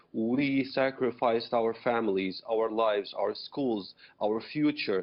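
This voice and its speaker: A man's medium-pitched voice with an Arabic accent. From Syria. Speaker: activist, former rebel, refugee. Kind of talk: TV news interview.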